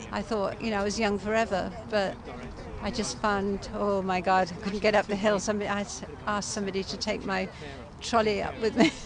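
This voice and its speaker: A woman at medium pitch with monotone, flat intonation, a fairly quick pace and noticeable background noise. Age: 70s. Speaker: veteran environmental protester. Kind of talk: casual outdoor interview.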